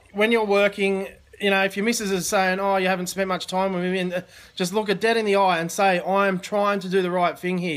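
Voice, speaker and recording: The speaker races along at a very fast pace with an Australian accent and monotone, flat intonation. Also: man. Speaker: online business coach. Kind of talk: live stream chat. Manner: casual, halting.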